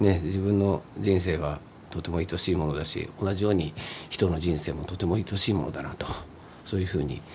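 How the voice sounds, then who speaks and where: A man talks fairly quickly in a very deep, low voice with ordinary pitch variation, noticeable background noise running behind him. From Nagoya, Japan. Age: 50s. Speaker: singer-songwriter, former street musician. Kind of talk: casual chat.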